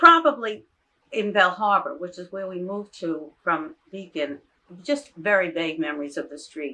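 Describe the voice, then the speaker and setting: Speaking at a moderate pace with a New York accent, a woman with a medium pitch uses lively intonation, big swings in loudness and a bright, sharp tone. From New York City area, Far Rockaway, Queens. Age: 80s+. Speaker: retired teacher. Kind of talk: oral history interview.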